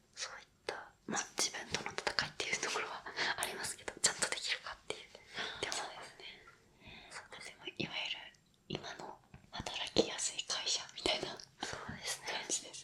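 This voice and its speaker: Whispering at a fairly quick pace in a calm tone, the speaker leaves long, frequent pauses, with big swings in loudness over noticeable background noise. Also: woman. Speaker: rental friend (errand and companionship service worker). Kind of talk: interview answer. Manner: soft-spoken, calm, conversational.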